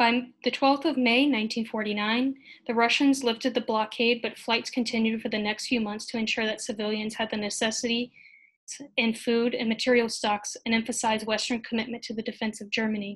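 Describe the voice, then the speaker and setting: A fairly high-pitched woman with an American accent, fairly quick and monotone in flat intonation, against a quiet background. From United States. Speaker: history graduate student; conference presenter. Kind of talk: conference presentation. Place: home room. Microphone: webcam.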